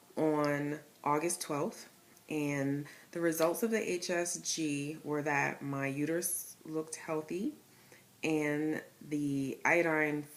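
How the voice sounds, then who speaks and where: With an East Coast accent, a woman speaks in a very deep, low pitch. She goes at a very slow pace with fairly even intonation. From Connecticut. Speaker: vlogger sharing IVF journey. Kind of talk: personal vlog. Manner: casual, with many fillers.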